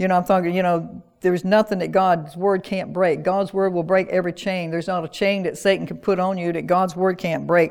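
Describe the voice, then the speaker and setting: Talking at a fairly quick pace with hardly any pauses, a woman with a Southern US accent keeps a monotone, flat intonation at medium pitch. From US South, North Carolina (rural). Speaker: pastor. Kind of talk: sermon. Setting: church with online audience.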